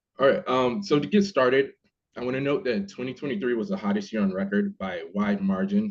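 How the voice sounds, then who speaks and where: Pitch swings very widely in this man's speech. He moves at a fairly quick pace. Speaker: research manager presenter. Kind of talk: webinar presentation.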